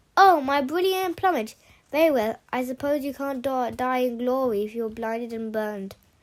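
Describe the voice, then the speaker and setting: A woman's shrill, high put-on character voice at a moderate pace. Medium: read story. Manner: shrill, intense.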